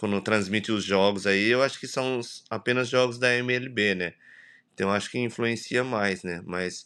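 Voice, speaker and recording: The tone is bright and sharp. The pace is moderate, with fairly even intonation. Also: man, fairly low pitch for a man. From Brazil, São Paulo. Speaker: baseball coach, former player. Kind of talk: interview. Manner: halting, many fillers.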